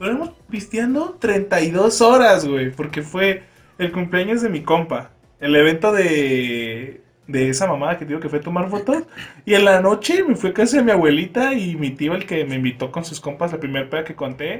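Speaking at a moderate pace, a man with a Mexican accent has a high pitch. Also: lively intonation. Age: young. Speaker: podcast co-host. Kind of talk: casual chat. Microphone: far from the mic.

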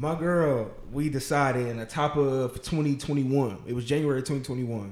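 With a plain, everyday voice, a man talks at a fairly high pitch and with fairly even intonation. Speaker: podcast host. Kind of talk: casual chat. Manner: casual, slangy.

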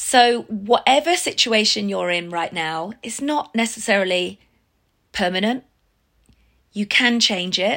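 A woman with an English accent talks at a fairly slow pace with long, frequent pauses, a medium pitch and lively intonation. Her tone is bright and sharp, and the recording is very clean with a silent background. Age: 50s. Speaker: fitness business owner. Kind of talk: personal testimony.

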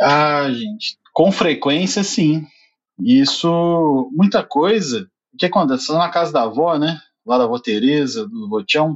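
This man has a normal speaking voice and delivers his words with lively intonation. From southern Minas Gerais, Brazil (Alfenas). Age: 30s. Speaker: podcast team member. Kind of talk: casual chat.

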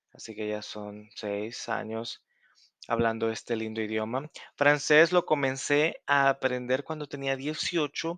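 A man speaks at a very slow pace with a medium pitch, ordinary pitch variation, and a bright, sharp tone, recorded dry and close with no echo against a quiet background. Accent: Salvadoran. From El Salvador. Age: 30s. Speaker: language tutor and podcaster. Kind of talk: casual self-introduction to learners.

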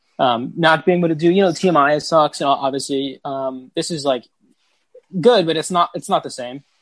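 The background stays quiet. A man goes at a moderate pace, his pitch varying in an ordinary way. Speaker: entertainment news panelist. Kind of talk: casual roundtable chat. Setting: video call.

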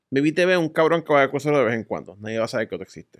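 This man talks with a Puerto Rican accent at a very fast pace. His pitch is fairly high and his intonation lively. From Puerto Rico. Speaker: podcast guest, adult content creator. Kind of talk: casual chat.

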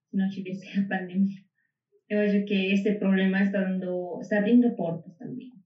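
A woman with a Spanish accent speaks at a moderate pace in a medium pitch, somewhat breathy and monotone, flat in intonation. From Bolivia. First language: Spanish (speaking Portuguese). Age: 20s. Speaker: double bassist, music student. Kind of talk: interview conversation.

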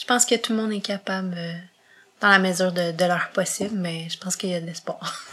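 A woman's medium-pitched voice at a fairly quick pace, with ordinary pitch variation and long, frequent pauses. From Quebec, Montreal. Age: 20s. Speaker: podcast guest with visual impairment. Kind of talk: interview.

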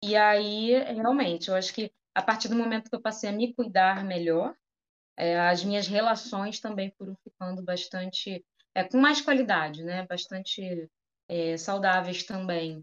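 Fairly slow speech comes from a woman at a medium pitch. Her pitch varies in an ordinary way. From Rio de Janeiro, Brazil (Campo Grande, West Zone). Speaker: psychologist and entrepreneur. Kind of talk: casual interview chat.

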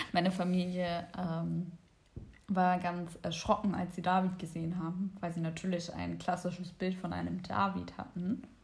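A somewhat breathy voice with monotone, flat intonation moves at a moderate pace amid audible room echo. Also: woman, fairly low pitch for a woman. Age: 20s. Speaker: podcast host, psychology student. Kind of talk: casual chat. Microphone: far from the microphone.

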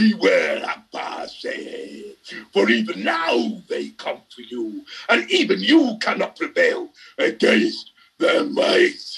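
Putting on a raspy, growling character voice, a man speaks at an extremely high pitch and a very slow pace. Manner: increasingly threatening.

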